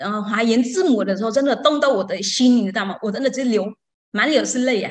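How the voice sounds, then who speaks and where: Fairly quick speech from a woman with a non-native accent, fairly high in pitch, ordinary pitch variation, quiet background. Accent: foreign-accented Mandarin. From outside Taiwan. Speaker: Buddhist student. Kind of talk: testimony. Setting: online call. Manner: halting. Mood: moved, enthusiastic. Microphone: video call.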